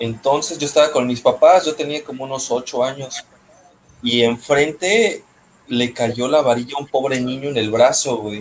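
Noticeable background noise sits behind the speech. A man talks at a moderate pace with medium pitch and ordinary pitch variation. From Mexico, Puerto Vallarta (Pacific coast). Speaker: podcast co-host. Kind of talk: casual chat.

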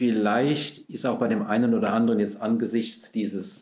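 A man uses a normal speaking voice at a medium pitch, with fairly even intonation. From Germany, Rhine-Hesse region (Gernsheim am Rhein). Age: 60s. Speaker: parish priest. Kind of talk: interview. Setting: in-person recording, seated far apart.

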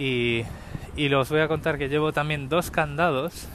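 A man's speech shows ordinary pitch variation and a moderate pace. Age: 40s. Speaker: podcaster. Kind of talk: solo monologue podcast. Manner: casual, hesitant with filler words.

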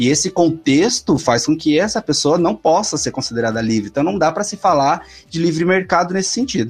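Over music in the background, a man with a fairly high pitch and lively intonation talks at a fairly quick pace with hardly any pauses. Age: 30s. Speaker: economics professor and author. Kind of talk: casual chat.

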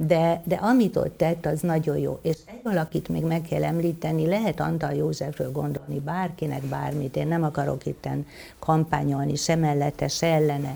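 Hardly pausing at all, a woman keeps a moderate pace. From Hungary, Veszprém county. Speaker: physician and writer. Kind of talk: interview on stage. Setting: stage with audience.

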